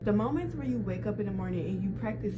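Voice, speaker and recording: Music plays in the background while a woman talks. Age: 20s. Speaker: lifestyle vlogger. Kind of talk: casual talk to camera.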